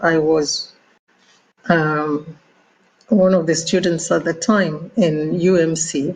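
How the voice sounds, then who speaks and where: In a Nigerian accent, a woman talks at a very slow pace, somewhat breathy, with fairly even intonation. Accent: Nigerian (Yoruba) English. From Nigeria, Ibadan (Yoruba). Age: 70s. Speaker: doctor and former ambassador. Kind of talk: interview.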